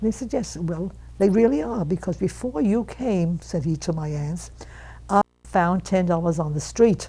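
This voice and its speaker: A woman's fairly low, dark, mellow voice with vocal fry, at a moderate pace and with ordinary pitch variation. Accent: American. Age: 80s+. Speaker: centenarian storyteller. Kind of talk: interview storytelling. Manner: halting; animated.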